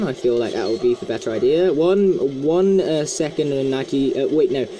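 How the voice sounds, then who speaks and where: Noticeable background noise behind a man's fairly high-pitched voice, moderate in pace, with lively intonation. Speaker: gaming YouTuber. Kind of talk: let's play commentary. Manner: stuttering, stumbling over words today; casual, chatty.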